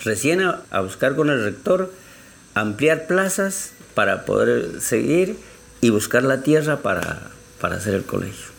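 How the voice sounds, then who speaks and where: The speaker is a man with a fairly slow pace. His pitch swings very widely. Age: 60s. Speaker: community leader. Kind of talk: testimony.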